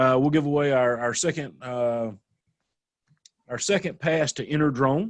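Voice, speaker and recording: Speaking with a Southern US accent, a man of fairly high pitch talks at a moderate pace with ordinary pitch variation. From US South. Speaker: drone association event host. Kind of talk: live online panel with giveaways.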